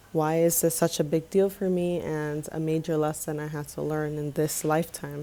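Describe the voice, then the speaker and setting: A woman speaks with a Spanish accent in a very deep, low pitch and a dark, mellow tone. Her intonation is monotone and flat, with hardly any pauses. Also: moderate pace. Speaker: filmmaker and vlogger. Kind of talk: personal video essay.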